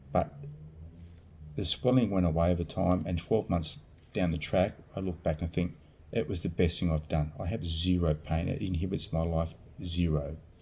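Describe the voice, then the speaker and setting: Somewhat breathy and dark, mellow in tone, the voice moves at a moderate pace with an Australian accent and long, frequent pauses. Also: man, very deep, low pitch for a man. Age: 50s. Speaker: vlogger sharing surgery experience. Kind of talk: personal testimony vlog. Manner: halting.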